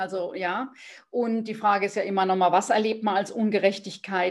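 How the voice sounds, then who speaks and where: A woman speaking at a moderate pace. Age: 50s. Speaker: business mentor. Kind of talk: interview. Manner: halting.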